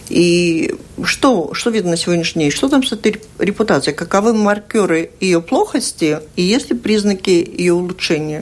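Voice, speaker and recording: With an ordinary speaking voice, a woman speaks at a moderate pace, her loudness very even and her intonation lively. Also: medium pitch for a woman. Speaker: radio host. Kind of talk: radio interview. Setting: studio.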